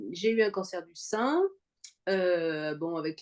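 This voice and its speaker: A woman talks at a very slow pace, her pitch medium and its variation ordinary. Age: 60s. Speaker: cancer survivor, fitness program member. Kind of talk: interview testimony. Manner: halting, many fillers.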